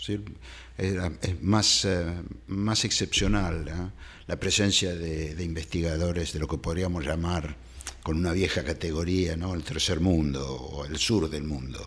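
The speech moves at a fairly slow pace with vocal fry. There is audible room echo. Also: man, very deep, low pitch for a man, ordinary pitch variation. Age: 70s. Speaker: historian and professor. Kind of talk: interview conversation. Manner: halting with many fillers and repetitions.

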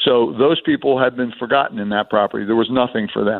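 Fairly even in intonation, a man talks at a moderate pace and a medium pitch. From Atlantic City, New Jersey. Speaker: casino executive. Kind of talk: radio interview. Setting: phone call.

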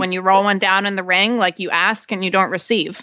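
A woman's ordinary speaking voice at a medium pitch and a fairly quick pace. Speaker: jumping show co-host and rider. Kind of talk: casual interview chat. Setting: Wellington, Florida.

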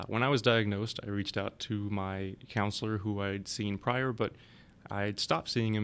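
A man with a fairly low pitch, a fairly quick pace and an ordinary speaking voice. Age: 30s. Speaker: cancer survivor and advocacy manager. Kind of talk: interview testimony.

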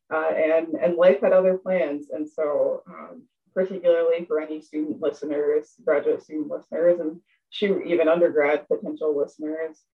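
A woman with a plain, everyday voice speaks at a fairly low pitch and a moderate pace, her intonation fairly even. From US, Appalachian Pennsylvania. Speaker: professor. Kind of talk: interview.

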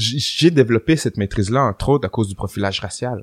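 Here a man talks with ordinary pitch variation. The recording is very clean with a silent background and a dry, close sound with no echo. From Quebec City, Quebec. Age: 30s. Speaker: rapper and historian. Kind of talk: casual interview.

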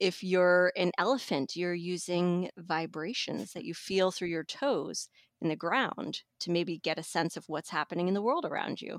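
A woman with an unremarkable speaking voice, ordinary pitch variation and hardly any pauses, in a very clean recording with a silent background. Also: fairly low pitch for a woman, moderate pace, dry, close sound with no echo. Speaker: magazine editor. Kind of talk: casual chat.

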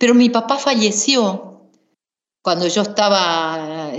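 A woman speaks at a very slow pace in a medium pitch. Audible room echo surrounds her voice. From Misiones, Argentina. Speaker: singer-songwriter and singing teacher. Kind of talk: interview.

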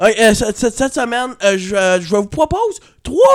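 This man speaks with a high pitch. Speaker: podcast host and comedian. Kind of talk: casual chat.

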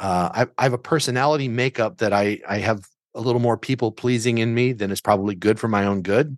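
A normal speaking voice with an American accent moves at a moderate pace with fairly even intonation, recorded dry and close with no echo against a quiet background. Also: man. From Southern Illinois. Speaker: business lawyer and coach. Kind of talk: casual chat.

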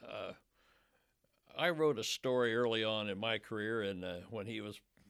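At a moderate pace, a man speaks with medium pitch and a bright, sharp tone. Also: very clean recording, silent background. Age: 70s. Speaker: newspaper reporter. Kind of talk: casual interview. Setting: studio. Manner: hesitant, filler-heavy.

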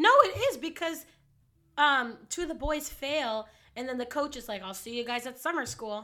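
At a moderate pace, a woman with a high pitch uses a raised, projected voice with a bright, sharp tone, lively intonation and big swings in loudness. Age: 20s. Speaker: podcast co-host. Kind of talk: casual chat.

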